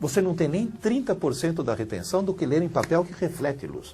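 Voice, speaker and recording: Pitched high, the man talks at a fairly quick pace in a dark, mellow tone. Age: 60s. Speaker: university professor, educator. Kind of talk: interview.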